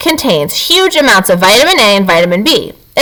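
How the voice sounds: The voice is a natural reading voice. It reads in that way throughout.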